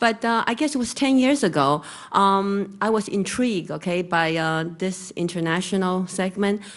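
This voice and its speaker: A woman with a Chinese accent at medium pitch and moderate pace, ordinary pitch variation, quiet background. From Taiwan. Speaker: real estate broker. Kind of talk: conference presentation. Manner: halting with many fillers.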